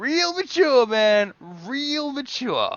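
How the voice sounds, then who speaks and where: This put-on character voice is high-pitched and whiny. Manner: shouting, indignant.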